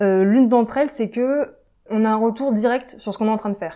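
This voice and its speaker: Her tone dark and mellow, a woman with a fairly high pitch and ordinary pitch variation speaks on a very clean recording with a silent background. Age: 20s. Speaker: software developer. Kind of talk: interview. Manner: hesitant fillers.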